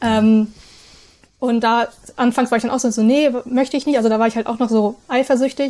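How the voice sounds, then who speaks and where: A woman with a high-pitched voice and a dark, mellow tone speaks at a moderate pace in a flat monotone, leaving long, frequent pauses. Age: 20s. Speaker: polyamory content creator. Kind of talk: casual interview. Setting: video call.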